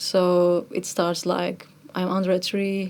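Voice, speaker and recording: A woman speaks with a Turkish accent. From Turkey. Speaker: musician, kamancha player. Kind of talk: interview conversation.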